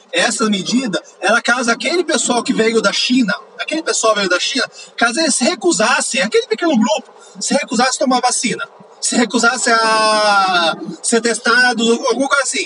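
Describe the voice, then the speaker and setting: A man's raised, projected voice at an extremely high pitch, with lively intonation at a moderate pace and music in the background. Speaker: podcaster. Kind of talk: angry rant about politics, swearing at the government and vaccine policy. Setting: in a car, driving, poor audio quality. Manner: heated, exasperated, loud and emphatic, punchy rhetorical questions; casual, chatty, informal slang.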